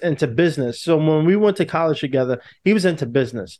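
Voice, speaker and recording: Fairly high in pitch, a man talks with a New York accent. The background is quiet. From New York City. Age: 20s. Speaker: actor. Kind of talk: interview.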